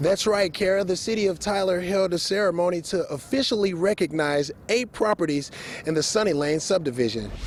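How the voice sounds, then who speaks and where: Speaking in an American accent, a man has a high pitch and lively intonation. He talks at a fairly quick pace. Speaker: television news reporter. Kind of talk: broadcast news reporting, live shots and packages.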